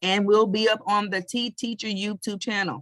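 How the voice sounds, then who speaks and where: A woman with an American accent speaks at a fairly slow pace in a dry, close sound with no echo. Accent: Southern US, getting stronger. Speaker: podcast host. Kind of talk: casual interview chat. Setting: live stream.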